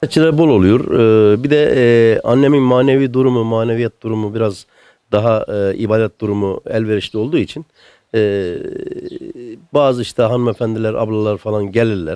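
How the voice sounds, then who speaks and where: In a dry recording with no echo and a quiet background, a man speaks at a medium pitch and a moderate pace, his tone dark and mellow, with ordinary pitch variation. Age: 60s. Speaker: son caring for elderly mother. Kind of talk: interview answer. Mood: warm, touched. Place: home room. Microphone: handheld.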